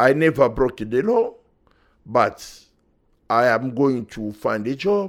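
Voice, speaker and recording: A man speaks at a medium pitch and a very slow pace, leaving long, frequent pauses. His intonation is lively, and the recording is very clean with a silent background. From Democratic Republic of Congo. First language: French. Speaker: refugee and human rights activist. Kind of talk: interview testimony.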